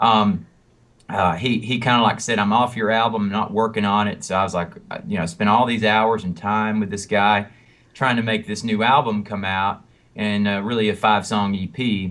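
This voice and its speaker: In a Southern US accent, a man talks at a fairly low pitch with fairly even intonation. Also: moderate pace. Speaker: country singer and songwriter. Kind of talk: interview. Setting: phone call. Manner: halting, many fillers.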